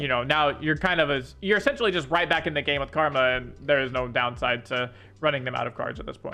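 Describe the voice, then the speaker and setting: Ordinary pitch variation marks a man's fairly quick delivery. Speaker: gaming content creator and coach. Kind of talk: patch notes review commentary. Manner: fast; casual with filler words.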